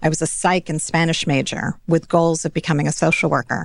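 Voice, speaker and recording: A woman's unremarkable speaking voice with an American accent, fairly low pitch, fairly even intonation and a moderate pace. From New York (Scarsdale). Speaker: financial advisor. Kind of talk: interview.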